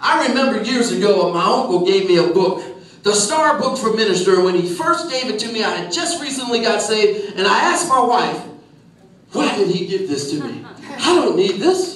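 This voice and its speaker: A loud man with an American accent speaks in a high voice at a moderate pace, with very wide pitch swings. Audible room echo and noticeable background noise surround him. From Philadelphia, US. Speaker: pastor. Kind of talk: sermon. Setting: church.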